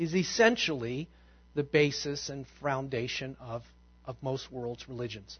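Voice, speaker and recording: This man speaks at medium pitch with ordinary pitch variation and is somewhat breathy. His loudness swings widely. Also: fairly slow pace. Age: 50s. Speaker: pastor. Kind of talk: sermon. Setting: church.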